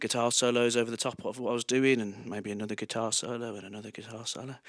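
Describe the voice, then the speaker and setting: Talking at a very fast pace, a man speaks with a Birmingham accent. His pitch sits in the medium range. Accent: Birmingham (Brummie) English. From Birmingham, England. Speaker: singer-songwriter. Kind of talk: between-song stage talk. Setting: live recorded music session.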